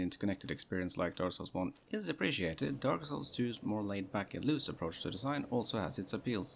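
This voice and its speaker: A man's very fast speech with lively intonation. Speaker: game reviewer. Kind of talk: fast-paced comedic game review voiceover. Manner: mumbling.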